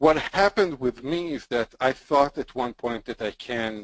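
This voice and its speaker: A man with a non-native accent speaks at a medium pitch and a fairly slow pace, with lively intonation and a dry, close sound with no echo. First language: not English. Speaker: podcast co-host, marketer. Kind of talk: casual chat.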